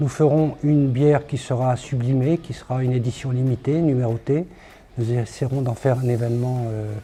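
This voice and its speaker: Over background music, a man talks at a moderate pace and medium pitch with fairly even intonation. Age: 60s. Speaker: craft brewery founder. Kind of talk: promotional testimony.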